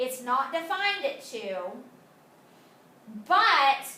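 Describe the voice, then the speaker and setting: A woman projects a raised, high-pitched voice at a very slow pace. The room echo is audible, along with noticeable background noise. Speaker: high school math teacher. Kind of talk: video lesson. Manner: casual, many fillers.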